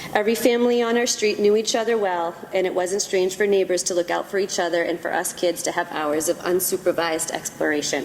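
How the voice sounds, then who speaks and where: A speaker with an American accent talks at a very fast pace, barely pausing at all. The pitch moves in an ordinary way, and there is noticeable background noise. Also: woman, medium pitch for a woman. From Massachusetts, Woburn (Boston area). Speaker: kindergarten teacher, award winner. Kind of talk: award acceptance speech.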